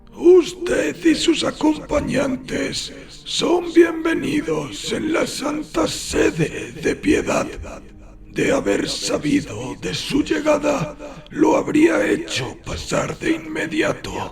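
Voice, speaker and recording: Over clear background noise, a man uses a raspy, put-on character voice at a very slow pace. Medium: read story. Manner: formal, measured, faintly disapproving.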